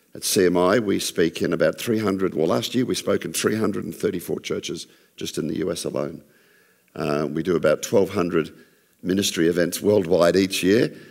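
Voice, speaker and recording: A man's fairly quick speech in an Australian accent, very deep and low in pitch, with ordinary pitch variation. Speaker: creationist ministry speaker. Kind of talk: church talk. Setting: church with audience. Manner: less dynamic than usual.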